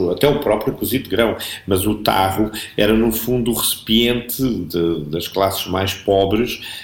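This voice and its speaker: Amid noticeable background noise, a man talks at a fairly slow pace in a medium pitch with ordinary pitch variation. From Portugal, Alentejo (Portalegre district). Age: 50s. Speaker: businessman and PR professional, traveller. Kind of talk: casual interview.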